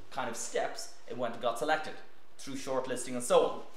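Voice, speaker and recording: Light background noise and audible room echo accompany a man as he speaks. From Ireland, County Meath. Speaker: physician and scientist giving a talk on astronaut training. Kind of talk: lecture. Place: meeting room.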